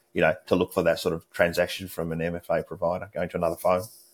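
On a very clean recording with a silent background, a man speaks with an Australian accent. His very deep, low voice moves at a very fast pace. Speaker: cybersecurity expert. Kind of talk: interview.

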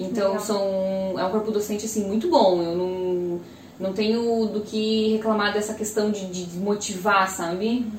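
A woman's medium-pitched, fairly slow voice with fairly even intonation, amid audible room echo and noticeable background noise. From Brazil, Joinville (Santa Catarina). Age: 20s. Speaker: civil engineer. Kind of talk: casual interview chat.

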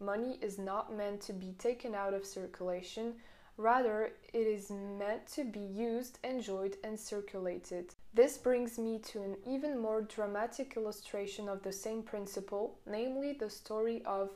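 A woman with a French accent speaks in a fairly high pitch and a dark, mellow tone, with fairly even intonation and hardly any pauses. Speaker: podcaster. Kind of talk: audiobook reading aloud. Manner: steady, measured reading pace; mostly formal, occasionally stumbles and corrects herself.

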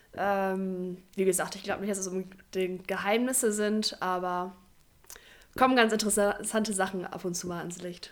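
Monotone, flat intonation marks a woman's medium-pitched voice, which keeps a moderate pace. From northern Germany, Oldenburg. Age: 20s. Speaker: physiotherapist and youth handball coach. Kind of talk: casual interview.

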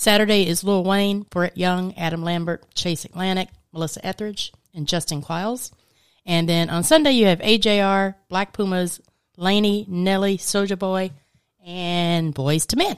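An unremarkable speaking voice from a woman at medium pitch, with ordinary pitch variation and a fairly slow pace, on a very clean recording with a silent background. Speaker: radio co-host. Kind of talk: casual chat. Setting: studio.

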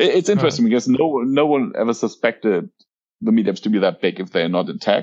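A man with a German accent, medium in pitch, at a very fast pace with very wide pitch swings. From Germany. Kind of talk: casual interview chat.

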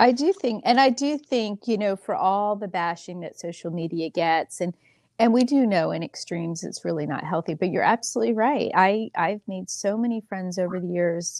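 A woman with an American accent and a plain, everyday voice, medium in pitch, talks at a moderate pace with hardly any pauses, in a dry, close sound with no echo and a quiet background. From Pennsylvania. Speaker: podcast host. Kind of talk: casual chat.

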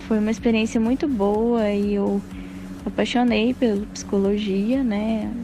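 A woman talks very slowly, her voice carrying audible room echo while music plays behind her. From Minas Gerais, Brazil (Passos, southwest). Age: 20s. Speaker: psychology student. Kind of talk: interview testimony.

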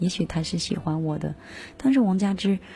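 This woman's voice has a dark, mellow tone and is somewhat breathy. Her tone is relaxed. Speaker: radio music show host. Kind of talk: casual radio talk between songs. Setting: radio studio. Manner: relaxed and informal.

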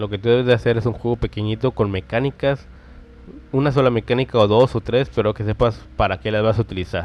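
A man talks at a very fast pace with vocal fry. His pitch sits in the medium range. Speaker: podcast host, game developer. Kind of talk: casual tutorial monologue. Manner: animated.

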